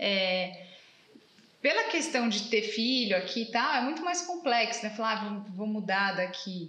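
A woman with a fairly high pitch speaks at a fairly slow pace with lively intonation. Noticeable background noise and audible room echo are present. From Brazil. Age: 30s. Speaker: automotive journalist. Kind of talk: casual interview chat. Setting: father's car workshop.

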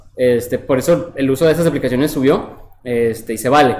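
There is noticeable background noise as the man talks at a moderate pace. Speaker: podcast host. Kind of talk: casual chat. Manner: animated.

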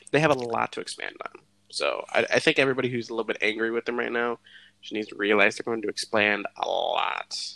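A man talks at a very fast pace with big swings in loudness. The sound is dry and close, with no echo. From Puerto Rican heritage. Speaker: podcast co-host, computer tech. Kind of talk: casual chat.

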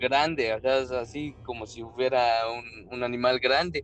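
A man's medium-pitched voice over background music. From Mexico, Querétaro. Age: 20s. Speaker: truck driver and miner. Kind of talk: storytelling in casual chat.

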